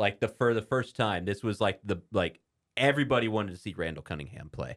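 A man with an American accent talks at a fairly quick pace in a fairly low pitch. His intonation is lively and his tone animated and playful. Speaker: sports podcast host. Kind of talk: casual sports talk show banter; ring announcer style showman intro, booming and theatrical. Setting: radio studio. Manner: animated, playful, jokey.

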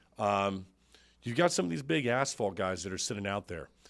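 A man with an American accent talks at a fairly quick pace in an ordinary speaking voice, pitched fairly low, on a very clean recording with a silent background. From Florida, Tampa Bay area. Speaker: podcast host. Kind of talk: casual interview chat. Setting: studio.

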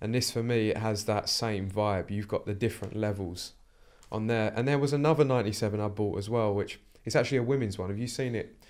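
A man with an ordinary speaking voice talks at a fairly quick pace and fairly low pitch, with fairly even intonation. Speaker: podcast host. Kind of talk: casual chat. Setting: studio.

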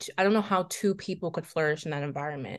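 Someone speaks at a very fast pace with ordinary pitch variation over a quiet background. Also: woman. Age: 20s. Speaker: law student podcast co-host. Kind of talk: casual chat.

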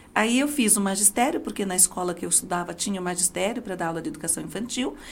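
A woman speaks at a very fast pace with lively intonation. Her voice is somewhat breathy. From Brazil, Diadema (São Paulo). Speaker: judge and law professor. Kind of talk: interview.

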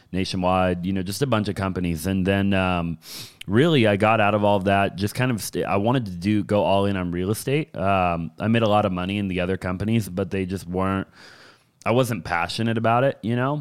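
An ordinary speaking voice at a fairly quick pace, ordinary pitch variation, very clean recording with a silent background. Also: man, fairly low pitch for a man. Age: 20s. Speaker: real estate entrepreneur. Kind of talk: casual chat.

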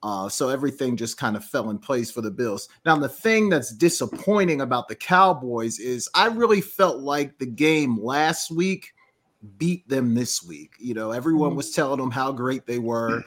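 A man with an unremarkable speaking voice, medium pitch and lively intonation at a moderate pace. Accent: American. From Georgia, US. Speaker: sports show co-host, teacher. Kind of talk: casual sports talk show banter.

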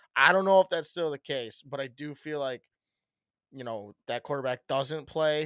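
The recording is very clean, with a silent background and a dry, close sound with no echo. A man speaks in a plain, everyday voice at a moderate pace with ordinary pitch variation. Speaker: podcast host. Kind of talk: casual chat.

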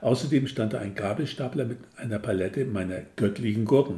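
Lively intonation in a somewhat breathy male voice. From northern Germany. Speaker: author. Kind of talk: reading aloud.

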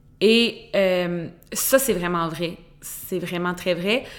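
A woman speaks in a Quebec accent. Her intonation is fairly even. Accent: Québécois French. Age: 20s. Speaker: podcast host. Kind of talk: casual monologue. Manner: frequent stumbles and repetitions.

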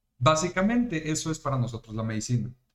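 A man with a Mexican accent sounds animated, his fairly high pitch making very wide swings. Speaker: podcast host. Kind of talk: casual chat. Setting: live stream.

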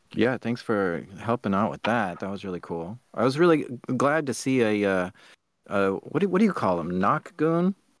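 A man at a medium pitch talks at a moderate pace with very wide pitch swings, the recording very clean with a silent background and a dry, close sound with no echo. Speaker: podcast host and creator. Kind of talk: casual chat. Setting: live stream.

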